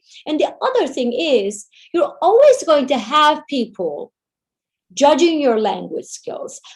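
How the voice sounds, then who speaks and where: Fairly slow, high-pitched speech from a woman, her pitch swinging very widely. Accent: Turkish. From Turkey, Istanbul. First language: Turkish. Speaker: Turkish language teacher. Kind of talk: webinar Q&A answer.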